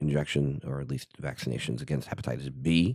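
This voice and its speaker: With a very deep, low pitch and vocal fry, a man speaks in a dark, mellow tone and fairly even intonation, the sound dry and close with no echo. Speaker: physician podcast host. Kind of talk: solo educational podcast. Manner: many filler words and hesitations.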